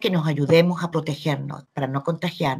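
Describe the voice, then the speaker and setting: A woman speaks in a very deep, low, somewhat breathy voice. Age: 70s. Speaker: journalist. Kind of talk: interview answers.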